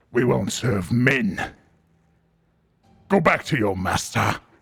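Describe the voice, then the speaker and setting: In a put-on character voice, a man growls at a fairly slow pace, gravelly and medium in pitch. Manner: hostile, refusing.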